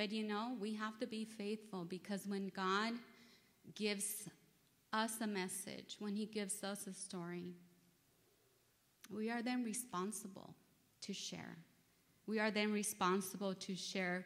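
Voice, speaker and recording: A woman speaks in a monotone, flat intonation at a fairly slow pace. Her pauses are long and frequent. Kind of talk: sermon. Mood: nervous, earnest. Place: church. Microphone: podium.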